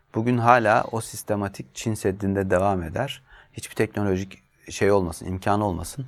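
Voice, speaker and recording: This man has a normal speaking voice and a fairly low pitch. His intonation stays fairly even. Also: moderate pace. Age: 40s. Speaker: journalist. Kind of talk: interview.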